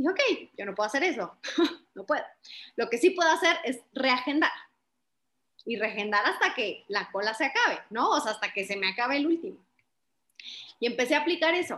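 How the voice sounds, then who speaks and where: A woman speaks in a high, raised and projected voice with a bright, sharp tone. Her pitch swings very widely, her pace is fairly quick, and she leaves long, frequent pauses. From Chihuahua, northern Mexico. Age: 20s. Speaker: political communication strategist. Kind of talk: interview.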